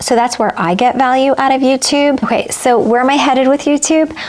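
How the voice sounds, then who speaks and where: Noticeable background noise is present. A woman's voice is high-pitched. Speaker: handbag and fashion YouTuber. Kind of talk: casual vlog talk to camera. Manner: slow, with pauses and stumbles.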